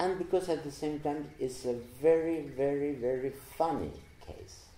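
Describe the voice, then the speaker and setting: A man with a non-native accent talks very slowly at a medium pitch, sounding somewhat breathy. Audible room echo surrounds his voice. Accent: non-native English pronunciation. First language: Spanish. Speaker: psychoanalyst. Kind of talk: lecture. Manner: halting.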